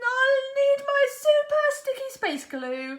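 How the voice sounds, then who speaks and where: A woman's put-on character voice, squeaky and extremely high in pitch, with monotone, flat intonation. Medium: read story. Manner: boastful.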